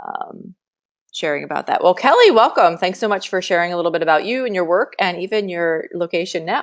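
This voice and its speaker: A woman with an American accent speaks in a normal speaking voice at a fairly low pitch. Her pace is fairly quick, and the background is quiet. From Central New Jersey. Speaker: professor. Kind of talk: online class facilitation. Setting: online class web meeting.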